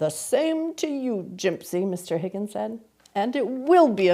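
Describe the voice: What we hear is plain reading aloud.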